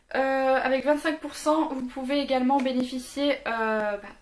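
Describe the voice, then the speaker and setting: A woman's high-pitched voice with fairly even intonation over noticeable background noise. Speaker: beauty youtuber. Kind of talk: product review. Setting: home filming in daylight. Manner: fast.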